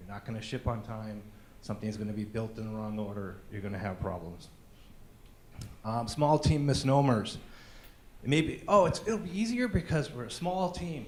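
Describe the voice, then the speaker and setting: The voice is somewhat breathy, with lively intonation at a moderate pace. Audible room echo surrounds it. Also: man. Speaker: conference speaker. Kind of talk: conference talk.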